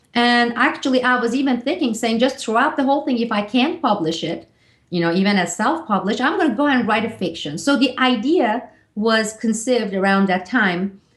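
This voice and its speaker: A fairly quick, lively-sounding woman in a Turkish accent, fairly high in pitch, with very even loudness against a quiet background. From Turkey. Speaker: author. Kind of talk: interview.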